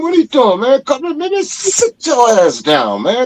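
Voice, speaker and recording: A loud, animated man at a fairly slow pace, with very wide pitch swings and a dry, close sound without echo. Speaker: podcast guest. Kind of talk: casual chat.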